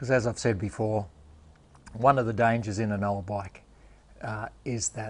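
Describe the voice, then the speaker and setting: A man speaks at a moderate pace with an Australian accent. His pitch is fairly low and his intonation fairly even. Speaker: motorcycle restoration YouTuber. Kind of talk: workshop tutorial. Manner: casual.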